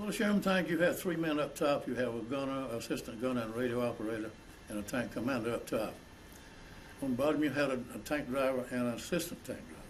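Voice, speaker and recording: Delivered at a very fast pace with lively intonation, the speech comes in a South Carolina accent against audible room echo. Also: man, medium pitch for a man. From South Carolina, Langley. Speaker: war veteran. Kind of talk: oral history interview. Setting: college. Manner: halting.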